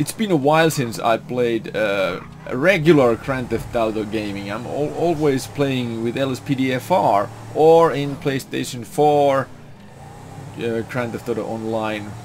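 A man with a Finnish accent speaks at a fairly slow pace in a medium pitch, with ordinary pitch variation. Noticeable background noise is present. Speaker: gaming youtuber. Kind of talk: gameplay commentary. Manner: animated.

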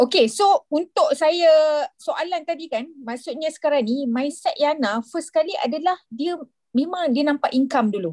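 Over a quiet background, a woman speaks at a fairly slow pace with an extremely high pitch. Her pitch swings very widely. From Malaysia. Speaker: event moderator. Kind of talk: moderated online session. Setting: video call. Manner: hesitant. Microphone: video call.

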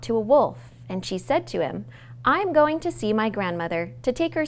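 A plain read-aloud passage

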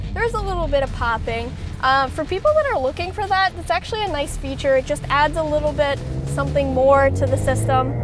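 A woman talks at a very fast pace. The sound is dry with no echo, and clear music plays in the background. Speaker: car reviewer driving. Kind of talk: commentary. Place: car. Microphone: camera far.

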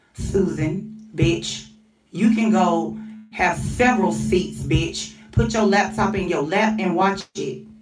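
There is audible room echo and music in the background. A woman talks at a fairly slow pace. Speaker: vlogger. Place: home room.

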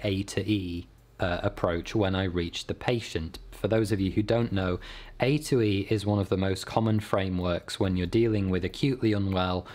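A man with a plain, everyday voice speaks at a fairly low pitch, with fairly even intonation and very even loudness. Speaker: YouTuber. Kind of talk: storytelling vlog with explanations. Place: home room.

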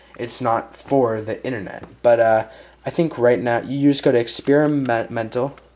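At a moderate pace, a man speaks with a medium pitch, a slightly mellow tone and fairly even intonation.

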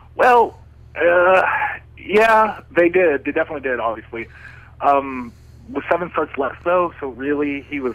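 The speaker has an American accent and lively intonation, with noticeable background noise. The pace is fairly slow, broken by long, frequent pauses. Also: man, fairly high pitch for a man. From southern California. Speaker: professional wrestler. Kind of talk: radio interview answer. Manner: casual, hesitant.

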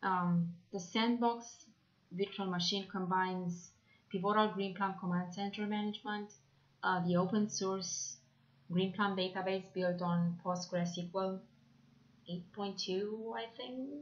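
Pausing long and often, a woman talks at a very slow pace with fairly even intonation. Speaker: presenter. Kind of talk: presentation.

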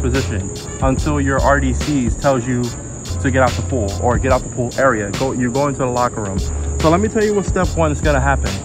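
Music is clearly audible behind the speaker. He is a man, and he talks at a fairly quick clip. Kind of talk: casual vlog chat. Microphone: phone near.

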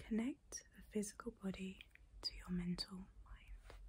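A woman whispering in a gentle tone at a fairly slow pace, with light background noise. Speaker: calming-content creator. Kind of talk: soft, reassuring guided talk, ASMR-like. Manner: gentle whispered affirmation. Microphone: phone near.

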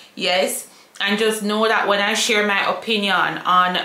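A woman speaks at a medium pitch with a bright, sharp tone. Strong room echo surrounds her voice.

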